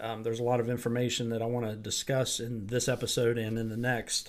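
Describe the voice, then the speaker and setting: Speaking at a fairly quick pace, a man with an American accent is heard in a room with audible echo. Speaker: pastor. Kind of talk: sermon; announcements. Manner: casual, hesitant with fillers.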